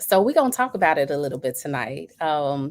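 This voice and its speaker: With a bright, sharp tone and lively intonation, a woman speaks at a very deep, low pitch. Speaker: talk show host. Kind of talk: casual chat. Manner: laid back.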